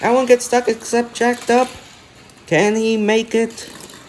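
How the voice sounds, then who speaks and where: The speech moves at a moderate speed with clearly audible background noise. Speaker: diecast race commentator. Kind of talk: live commentary. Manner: animated.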